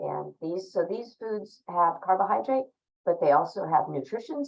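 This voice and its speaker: A woman speaks at a moderate pace in a plain, everyday voice. Her intonation is lively. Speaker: dietitian. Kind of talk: lecture.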